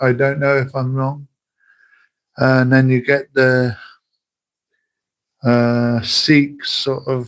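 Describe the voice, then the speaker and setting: A man with a West Country accent at a very slow pace, long, frequent pauses, monotone, flat intonation, very clean recording with a silent background. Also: medium pitch for a man. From southern England, Wiltshire. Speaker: livestreamer. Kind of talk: casual chat. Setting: livestream. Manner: halting.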